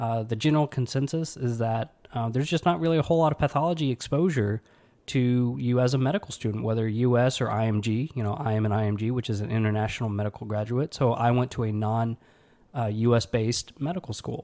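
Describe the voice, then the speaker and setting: Here a man talks at a very fast pace in an American accent. His tone is dark and mellow. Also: medium pitch for a man, ordinary pitch variation. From US South (Alabama). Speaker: podcast host, pathology resident doctor. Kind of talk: casual solo podcast talk. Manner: filler-heavy, conversational.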